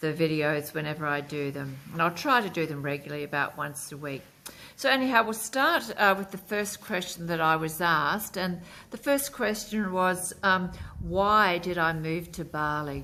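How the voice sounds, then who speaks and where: A woman with an Australian accent and a fairly low pitch speaks at a moderate pace, her tone bright and sharp and her intonation lively. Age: 60s. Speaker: lifestyle vlogger. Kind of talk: casual vlog talk to camera. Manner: hesitant, many fillers.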